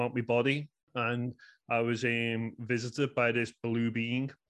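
In a quiet background, a man with a Scouse accent talks at a medium pitch. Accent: Scouse (Liverpool) English. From Liverpool, England. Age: 30s. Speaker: astrologer and author. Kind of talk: casual interview. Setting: remote podcast call.

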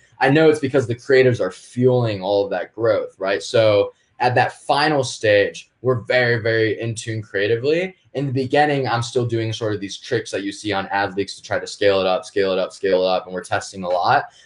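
Against a quiet background, a somewhat breathy man of medium pitch talks at a fairly quick pace with hardly any pauses and ordinary pitch variation. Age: 20s. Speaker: e-commerce entrepreneur. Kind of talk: casual interview.

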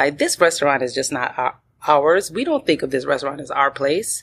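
Pitch swings very widely in this woman's voice. She speaks at a moderate pace. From Milwaukee, Wisconsin. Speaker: restaurant owner. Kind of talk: interview. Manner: laughs often.

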